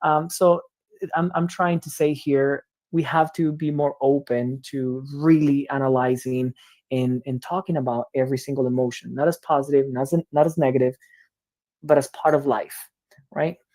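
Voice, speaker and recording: This man has a Spanish accent and a dark, mellow tone at fairly high pitch. His intonation stays fairly even at a moderate pace. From Cuba. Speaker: education researcher. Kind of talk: lecture. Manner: halting.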